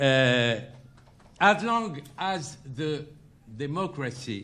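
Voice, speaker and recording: A man's medium-pitched voice with a bright, sharp tone and a French accent. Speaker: interview guest.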